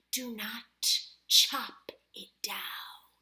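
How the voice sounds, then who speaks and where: In a put-on character voice, the speaker hisses along at a very slow pace. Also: female-sounding voice. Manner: hissing.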